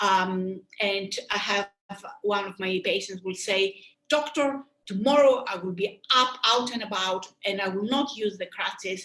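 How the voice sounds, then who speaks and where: With a Greek accent, a woman speaks at a fairly slow pace in a medium pitch, her tone bright and sharp and her pitch variation ordinary. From Greece. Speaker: sports medicine doctor and surgeon. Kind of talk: webinar lecture. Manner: halting.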